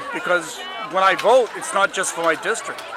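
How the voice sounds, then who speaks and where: A man's high-pitched voice at a moderate pace, crowd noise in the background. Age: 70s. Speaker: political candidate. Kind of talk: interview. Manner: halting.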